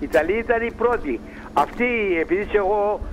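There is noticeable background noise. A man speaks at a fairly slow pace with ordinary pitch variation. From northern Greece, Pella. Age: 80s+. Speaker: retired immigrant miner and barber. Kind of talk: interview testimony.

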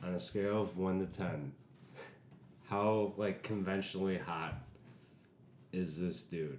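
Long, frequent pauses break up a man's fairly slow delivery. His pitch is very deep and low, with ordinary variation. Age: 20s. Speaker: comedian guest. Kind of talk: casual chat, interview.

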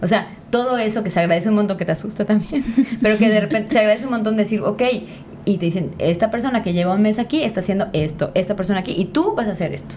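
A woman talking at a very fast pace with ordinary pitch variation, amid noticeable background noise. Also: medium pitch for a woman. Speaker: podcast host. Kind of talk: casual chat. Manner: animated.

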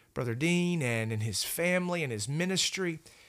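A man speaks at a moderate pace in a normal speaking voice, with lively intonation. The recording is very clean, with a silent background. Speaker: pastor. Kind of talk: Bible study discussion.

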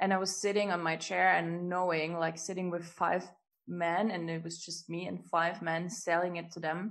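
A woman's fairly low voice at a moderate pace, monotone and flat in intonation. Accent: German. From Germany. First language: German. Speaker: business coach and healer. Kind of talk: casual interview chat.

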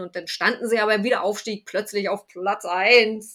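A woman's bright, sharp tone. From Berlin. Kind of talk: casual chat.

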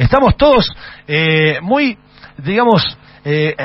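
Very wide pitch swings from a man, with noticeable background noise. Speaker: radio host. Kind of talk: interview.

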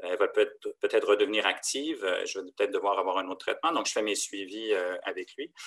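A man speaks at a very fast pace. The sound is dry and close with no echo. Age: 50s. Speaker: leukemia patient sharing experience. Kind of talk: interview testimony. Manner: halting, many hesitations.

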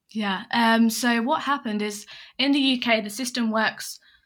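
On a very clean recording with a silent background, a woman with an English accent speaks in monotone, flat intonation. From England. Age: 20s. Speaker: consultant. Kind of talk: casual interview.

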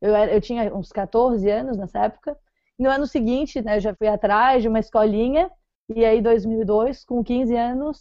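At a fairly slow pace, a woman with a fairly high pitch and ordinary pitch variation speaks in an ordinary speaking voice. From Florianópolis, southern Brazil. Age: 20s. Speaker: professional triathlete and running coach. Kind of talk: podcast interview.

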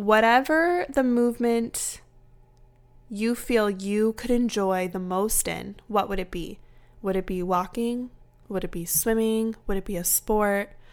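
An ordinary speaking voice at a fairly slow pace with ordinary pitch variation, in a very clean recording with a silent background. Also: woman, fairly high pitch for a woman. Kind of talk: guided movement meditation, warm wellness-coach pep talk. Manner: soothing, encouraging, gently paced with an upbeat, empowering tone.

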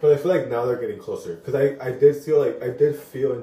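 A man at a very fast pace. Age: 30s. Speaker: podcast co-host, vet tech. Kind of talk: casual chat.

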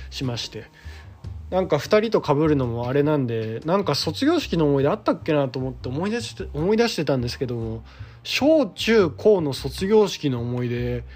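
At a moderate pace, a man with a fairly high pitch speaks in very wide pitch swings. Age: 30s. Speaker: theatre director and playwright. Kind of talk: solo podcast talk. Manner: casual.

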